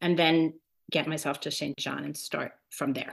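A woman speaks in an ordinary speaking voice, fairly low in pitch, at a moderate pace. Her pitch varies in an ordinary way over a quiet background. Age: 50s. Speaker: retiree preparing for pilgrimage. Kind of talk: interview.

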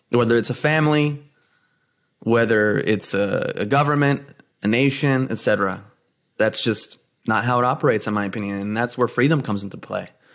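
A medium-pitched man at a fairly quick pace, with long, frequent pauses and ordinary pitch variation, on a very clean recording with a silent background. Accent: New Jersey. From US Northeast, New Jersey. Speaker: podcast host. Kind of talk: casual chat.

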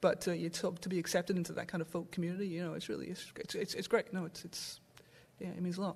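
In a somewhat breathy, fairly low voice, a woman talks at a very fast pace with monotone, flat intonation. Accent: Welsh. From south Wales. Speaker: guitarist. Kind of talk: casual chat. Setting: stage with audience.

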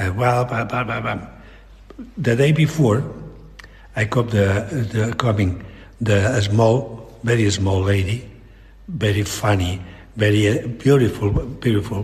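Somewhat breathy and fairly slow, the voice has ordinary pitch variation, long, frequent pauses, and audible room echo. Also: man. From Catalonia, Spain. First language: Catalan or Spanish. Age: old. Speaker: fine artist and illustrator. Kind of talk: interview. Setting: artist's studio. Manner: halting.

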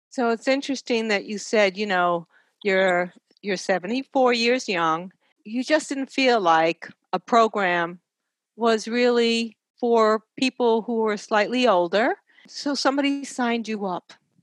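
Fairly high in pitch, a woman in a normal speaking voice talks at a fairly slow pace with ordinary pitch variation, in a dry, close sound with no echo. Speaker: podcast host and nurse. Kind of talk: interview for a health podcast.

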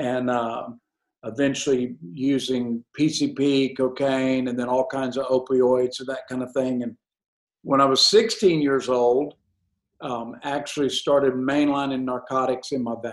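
A man's medium-pitched voice with a Southern US accent, fairly slow in pace and fairly even in intonation. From Alabama, US South. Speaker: evangelist and ministry director. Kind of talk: testimony.

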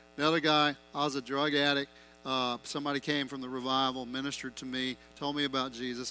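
A man at a fairly quick pace, fairly even in intonation, with music in the background. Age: 50s. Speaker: pastor. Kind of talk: sermon.

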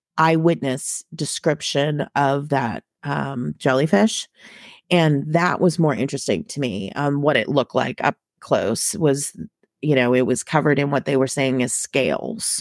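A woman's very deep, low voice with lively intonation and an American accent, fairly slow in pace, in a dry, close recording with no echo and a very clean, silent background. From Massachusetts, Boston suburbs. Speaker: podcast co-host. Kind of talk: casual chat.

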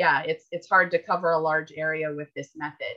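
Speaking in an Upper Midwest accent, a woman with a fairly low pitch keeps a moderate pace and fairly even intonation. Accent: Upper Midwest American. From US Midwest, Minneapolis, Minnesota. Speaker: writer and author. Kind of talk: interview. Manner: halting, many fillers.

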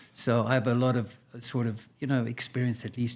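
A man speaks at a medium pitch and moderate pace. His voice is somewhat breathy. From South Africa. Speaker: physician. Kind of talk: interview.

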